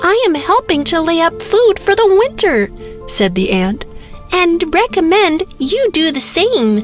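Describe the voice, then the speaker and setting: A put-on character voice at extremely high pitch, with very wide pitch swings and a fairly slow pace, over clear music in the background. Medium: read story. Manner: firm, serious.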